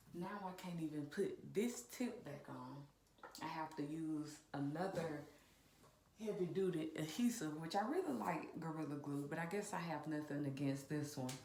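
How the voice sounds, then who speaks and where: Audible room echo surrounds a woman with a very deep, low pitch. She speaks at a fairly slow pace with ordinary pitch variation. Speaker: DIY video host and realtor. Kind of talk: tutorial. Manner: casual, chatty.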